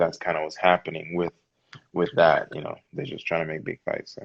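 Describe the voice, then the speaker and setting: In a Virgin Islands accent, a man speaks with a very deep, low pitch and fairly even intonation. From US Virgin Islands, St Thomas. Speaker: professional boxer. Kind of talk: casual interview.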